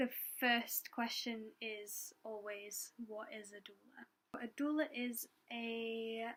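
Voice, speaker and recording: This woman speaks quietly. Her pitch is fairly high. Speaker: doula. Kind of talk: casual Q&A talk to camera. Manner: hesitant, many fillers; quiet, trying to talk louder.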